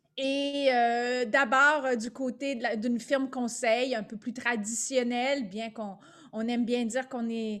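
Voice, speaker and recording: A speaker with a Quebec accent talks at a fairly slow pace. The intonation stays monotone and flat. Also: woman, high pitch for a woman. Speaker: business owner, leadership consultant. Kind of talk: webinar presentation.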